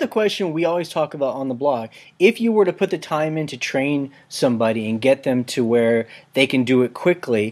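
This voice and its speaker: This man has an unremarkable speaking voice with a fairly high pitch. His intonation is lively and his pace fairly quick. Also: very clean recording, silent background. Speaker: podcast host. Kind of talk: interview questions.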